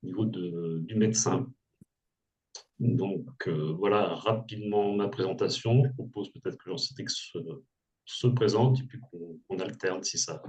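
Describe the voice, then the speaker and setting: Somewhat breathy and fairly low-pitched, a man speaks with long, frequent pauses and big swings in loudness. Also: ordinary pitch variation, fairly slow pace. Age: 60s. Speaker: former entrepreneur, burnout coach. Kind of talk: testimony. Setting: webinar video call.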